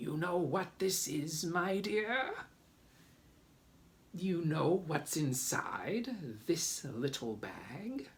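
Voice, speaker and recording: A creaky, high-pitched put-on character voice from a man at a very slow pace. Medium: read story. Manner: conspiratorial.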